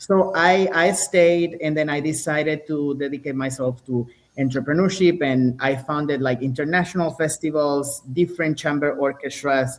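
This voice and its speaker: A man with a Spanish accent talks at a moderate pace, with hardly any pauses. His pitch is fairly high and his intonation fairly even. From Venezuela. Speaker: violinist. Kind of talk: interview.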